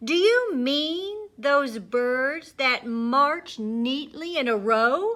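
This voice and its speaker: Using a put-on character voice, a woman speaks loudly and very slowly at a high pitch. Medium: read story. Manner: loud, cheerful, playful.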